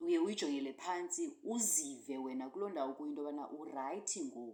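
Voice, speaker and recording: Her tone dark and mellow, a woman speaks at a fairly quick pace with very wide pitch swings. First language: Xhosa. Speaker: podcast co-host, cricket commentator. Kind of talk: casual chat. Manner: halting.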